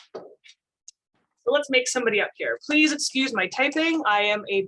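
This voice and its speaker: Raised and projected, a woman's voice moves through very wide pitch swings. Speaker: safety trainer. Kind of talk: tutorial.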